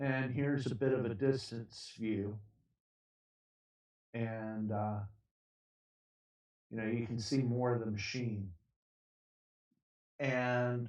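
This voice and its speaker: A man at a medium pitch speaks very slowly, with ordinary pitch variation. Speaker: cancer patient. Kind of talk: casual talk to camera. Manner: hesitant, filler-heavy.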